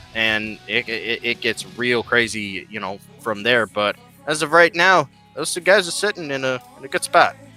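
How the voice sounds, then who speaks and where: Music plays behind a man speaking at a moderate pace and medium pitch. His pitch swings very widely, and the sound is dry and close with no echo. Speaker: wrestling commentator. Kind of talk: sports commentary, casual analysis.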